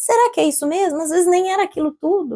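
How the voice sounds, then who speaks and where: A woman's lively intonation comes through in a dry, close sound with no echo. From Brazil. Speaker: entrepreneur. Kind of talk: interview.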